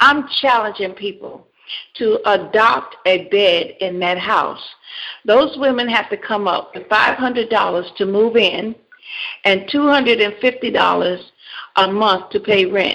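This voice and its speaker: A woman with a normal speaking voice talks at a fairly slow pace. Her pitch is medium, with ordinary pitch variation. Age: 60s. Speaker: pastor and counselor. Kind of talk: radio interview. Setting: radio show.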